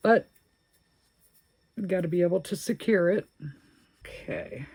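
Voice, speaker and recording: A somewhat breathy woman's voice at a medium pitch. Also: ordinary pitch variation, moderate pace, dry, close sound with no echo. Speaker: crochet video creator. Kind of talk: crochet tutorial, casual chat. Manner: chatty, thinking aloud.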